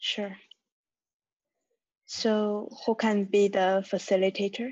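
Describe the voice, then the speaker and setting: A woman at medium pitch with a Chinese accent, very slow in pace and monotone, flat in intonation. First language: Mandarin Chinese. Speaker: community member. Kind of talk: group video call discussion. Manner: halting.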